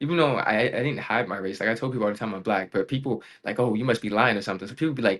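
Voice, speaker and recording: Against a quiet background, a man is speaking. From Raleigh, North Carolina. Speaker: gaming YouTuber and streamer. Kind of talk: podcast interview.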